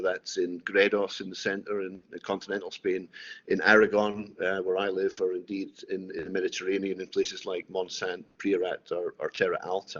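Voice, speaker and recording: The pace here is moderate. The speaker is a man with a Scottish accent. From Scotland. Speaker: winemaker. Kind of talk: tutored wine tasting. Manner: hesitant, many fillers.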